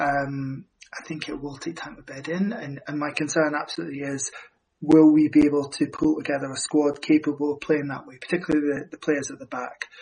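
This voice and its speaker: A man with a normal speaking voice talks fairly quickly at a fairly high pitch, his intonation fairly even and his loudness swinging widely. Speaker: football podcast co-host. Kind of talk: football podcast discussion.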